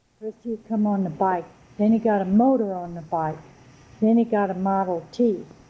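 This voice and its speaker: Big swings in loudness mark this woman's speech in a Louisiana accent, her tone dark and mellow, her pitch medium with ordinary variation, and her pace moderate. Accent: southern US (Louisiana). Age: 70s. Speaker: local resident. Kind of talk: oral history interview. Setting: chapel.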